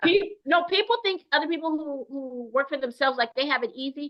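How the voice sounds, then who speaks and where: A woman speaks loud and at a fairly quick pace, her high voice making very wide pitch swings. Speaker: AI speaker. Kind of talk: webinar discussion. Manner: animated.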